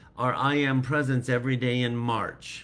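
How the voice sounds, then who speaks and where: A man talks at a fairly slow pace. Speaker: spiritual teacher. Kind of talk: live spiritual talk. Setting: livestream on computer.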